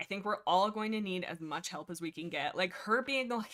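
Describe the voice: Here the delivery is plain reading aloud. Ordinary pitch variation comes through.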